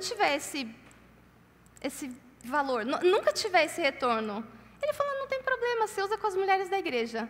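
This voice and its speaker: A loud woman speaks at an extremely high pitch and a moderate pace, her pitch swinging very widely. Long, frequent pauses break up her speech, with noticeable background noise behind her. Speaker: conference speaker. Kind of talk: sermon.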